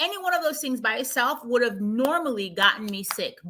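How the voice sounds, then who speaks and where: Animated and raised, a woman's projected voice moves through very wide pitch swings. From Jamaica. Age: 40s. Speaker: marketing executive and livestream host. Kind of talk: casual health livestream chat.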